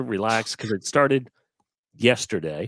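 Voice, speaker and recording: In a very clean recording with a silent background, a man with a fairly low voice talks at a fairly slow pace. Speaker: cornhole podcast host. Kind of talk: casual chat. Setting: at home, not in studio. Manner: quieter than usual. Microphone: no studio acoustics.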